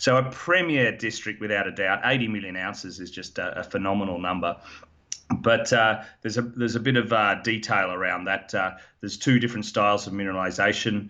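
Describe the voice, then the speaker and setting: Speaking at a fairly quick pace, a man with an Australian accent uses a fairly low pitch. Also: ordinary pitch variation. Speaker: mining company executive and geologist. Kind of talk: interview.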